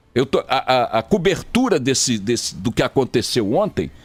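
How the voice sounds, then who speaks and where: A man with very wide pitch swings and music in the background. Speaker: radio news anchor. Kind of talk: radio news commentary, opinionated on-air talk.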